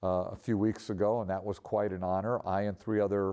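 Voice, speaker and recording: A man talks at a moderate pace in a fairly low, dark, mellow voice. His intonation stays monotone and flat. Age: 60s. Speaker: photographer. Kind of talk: interview. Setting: art center.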